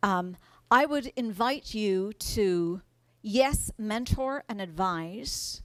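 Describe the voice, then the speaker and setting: A woman with an American accent, medium in pitch with lively intonation, in a very clean recording with a silent background. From Ireland. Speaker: agile coach and conference speaker. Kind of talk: conference talk. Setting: stage with audience. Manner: animated.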